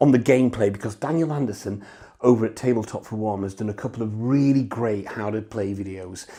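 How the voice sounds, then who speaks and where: A man's very fast, dark and mellow voice with a British accent and ordinary pitch variation. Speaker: board game reviewer. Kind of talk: solo game review. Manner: hesitant, many fillers.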